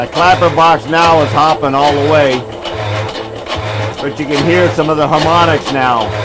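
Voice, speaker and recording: A man speaks at a moderate pace with ordinary pitch variation. Noticeable background noise runs behind him. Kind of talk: tutorial. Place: workshop.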